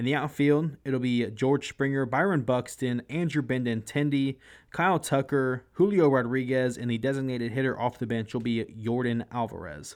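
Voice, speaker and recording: The recording is very clean, with a silent background, and a man speaks at a moderate pace with hardly any pauses. He has an ordinary speaking voice at medium pitch, with ordinary pitch variation. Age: 20s. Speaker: sports podcast host. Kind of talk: casual sports commentary monologue.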